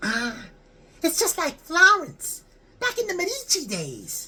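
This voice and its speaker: Someone puts on a character voice with an extremely high pitch, speaking at a fairly slow pace. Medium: read story. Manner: blunt, slangy, easily awed.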